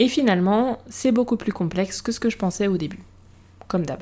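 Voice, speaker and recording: A woman speaks in a somewhat breathy voice. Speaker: podcast host. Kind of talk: podcast monologue. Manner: casual, conversational.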